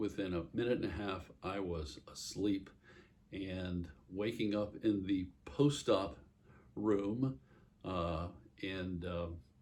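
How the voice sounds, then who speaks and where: A man speaks at a very deep, low pitch. His pace is very slow. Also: ordinary pitch variation. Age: 60s. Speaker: vlogger sharing surgery recovery. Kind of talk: casual personal vlog. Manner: halting, many fillers.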